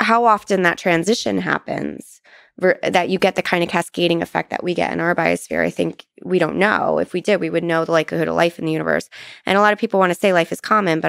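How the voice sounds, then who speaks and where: Talking at a very fast pace, a woman is heard in dry sound with no echo against a quiet background. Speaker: guest. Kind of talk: interview answer. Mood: thoughtful, lightly amused. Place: studio. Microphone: studio mic.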